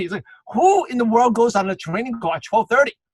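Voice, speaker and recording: A voice races at a very fast pace with lively intonation, in a dry, close sound with no echo. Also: man. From Brooklyn, New York. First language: not English (English is third language). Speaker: network marketing trainer. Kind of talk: online training call. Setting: video call.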